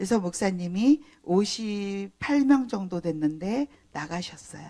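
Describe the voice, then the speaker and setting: Very slow and with lively intonation, a woman speaks in a dark, mellow tone. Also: medium pitch for a woman. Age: 60s. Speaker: pastor. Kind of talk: sermon. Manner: conversational.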